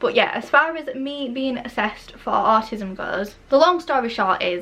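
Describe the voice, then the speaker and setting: In a Yorkshire accent, a woman speaks at a high pitch with lively intonation. Her pace is moderate, with noticeable background noise. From northern England, Barnsley, South Yorkshire. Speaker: beauty YouTuber. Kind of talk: casual chat. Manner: chatty, rambling.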